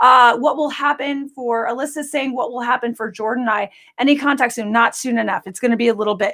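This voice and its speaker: Very fast and with hardly any pauses, a woman talks in an animated, bright, sharp tone at a high pitch. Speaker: psychic medium doing live readings. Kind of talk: live-stream psychic readings, rapid fire Q&A. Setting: live stream across several platforms.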